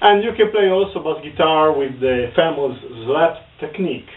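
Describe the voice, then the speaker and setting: A man with an Italian accent, his fairly high pitch and lively intonation, at a moderate pace. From northern Italy. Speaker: bass guitar teacher. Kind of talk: tutorial. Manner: halting.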